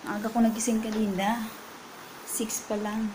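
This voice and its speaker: Over noticeable background noise, a woman speaks at a fairly slow pace in a fairly high pitch. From Philippines. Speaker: caregiver and vlogger; vlogger. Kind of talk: casual vlog talk. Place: home room. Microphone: earbuds.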